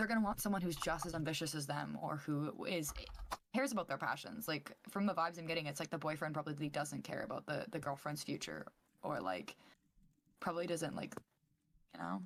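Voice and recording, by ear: A raspy woman's voice, low in pitch, with lively intonation and a fairly quick pace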